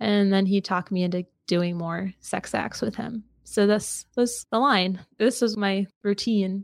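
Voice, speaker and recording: In a very clean recording with a silent background and a dry, close sound with no echo, a woman with an unremarkable speaking voice and medium pitch talks at a fairly slow pace, with fairly even intonation and hardly any pauses. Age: 20s. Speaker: podcaster and abuse survivor. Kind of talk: testimony.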